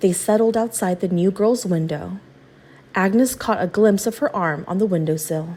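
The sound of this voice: Ordinary pitch variation from an unforced reading voice.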